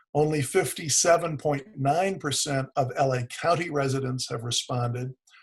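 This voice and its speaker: With an American accent, the speaker sounds somewhat breathy, using ordinary pitch variation at a moderate pace. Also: man. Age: 60s. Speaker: economic development executive. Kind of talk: webinar presentation.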